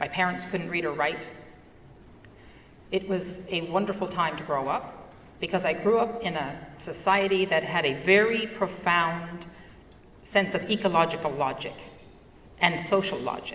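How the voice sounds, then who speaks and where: Noticeable background noise and audible room echo surround a woman with a fairly low pitch. Her intonation stays fairly even, and she pauses long and often. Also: moderate pace. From Newfoundland, Canada (Fogo Island). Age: 60s. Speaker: entrepreneur and conference speaker. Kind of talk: conference talk.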